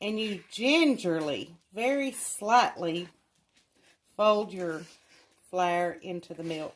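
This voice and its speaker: A woman with a medium-pitched voice speaks at a very slow pace, her loudness swinging widely and her intonation lively, with long, frequent pauses. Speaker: home cook. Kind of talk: cooking tutorial. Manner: casual, conversational.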